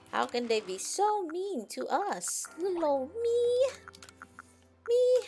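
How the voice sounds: A put-on character voice with an extremely high pitch speaks at a fairly slow pace, leaving long, frequent pauses while faint music plays in the background.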